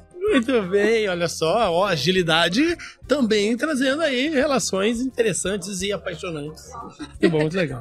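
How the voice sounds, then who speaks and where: Over noticeable background noise, a man talks at a moderate pace in a high pitch, with very wide pitch swings. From Brazil, interior of Paraná. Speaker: podcast host. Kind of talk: casual chat. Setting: recorded at a live event.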